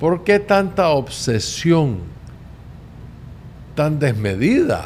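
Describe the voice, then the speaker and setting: The delivery is very slow. Pitch swings very widely throughout. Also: man. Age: 70s. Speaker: political podcast host. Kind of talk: political commentary monologue.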